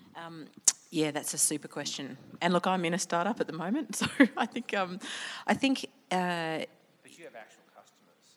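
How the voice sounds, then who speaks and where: A woman with an Australian accent talks at a fairly quick pace in a fairly low pitch, with lively intonation, big swings in loudness and long, frequent pauses. The recording is very clean, with a silent background. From Sydney, North Shore. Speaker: business leader, innovation and risk expert. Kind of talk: talk to a live audience. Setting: stage with audience.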